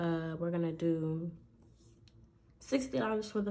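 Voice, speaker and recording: Her tone is dark and mellow, and this woman's pitch is fairly low with ordinary variation. She speaks at a fairly slow pace. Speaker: budgeting content creator. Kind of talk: casual vlog. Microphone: phone near.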